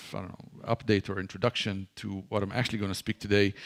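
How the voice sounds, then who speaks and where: A man with an Israeli accent at a fairly quick pace, in a dry, close sound with no echo. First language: Hebrew. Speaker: ministry leader and guest speaker. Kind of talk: church talk. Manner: halting, many fillers and repeats.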